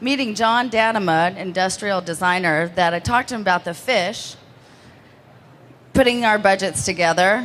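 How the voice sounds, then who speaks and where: With an American accent, a woman at a medium pitch talks at a fairly quick pace with ordinary pitch variation. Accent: Texan, strong right now. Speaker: interior designer. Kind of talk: award presentation. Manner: fast.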